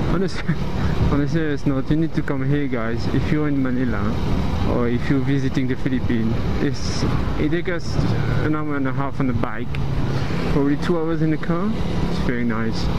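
Loud noise fills the background. The speaker talks at a fairly quick pace. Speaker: motovlogger. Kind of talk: casual vlog chat. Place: motorbike. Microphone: helmet.

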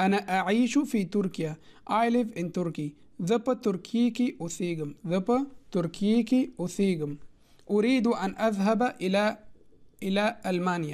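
Someone with a Pashto accent talks at a very slow pace in a very clean recording with a silent background. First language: Pashto (speaking Arabic). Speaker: language teacher. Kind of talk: tutorial. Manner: slow, repetitive.

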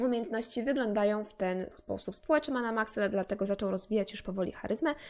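A woman speaks with a fairly high pitch and ordinary pitch variation. It is a plain, everyday voice. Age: 20s. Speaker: gaming youtuber. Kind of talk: let's play commentary. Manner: casual, chatty.

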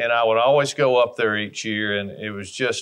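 With an Alabama accent, a man speaks at a fairly quick pace using fairly even intonation. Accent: Southern US (Alabama). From US South, Alabama. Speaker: hunting brand ambassador. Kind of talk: storytelling monologue. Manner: folksy, conversational. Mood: warm, nostalgic storytelling. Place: home room.

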